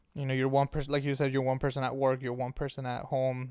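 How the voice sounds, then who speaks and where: A man speaks very fast in a Spanish accent at a medium pitch. His intonation is monotone and flat, on a very clean recording with a silent background. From Mexico, Ensenada, Baja California. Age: 20s. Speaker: youth behavioral worker. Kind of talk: casual interview.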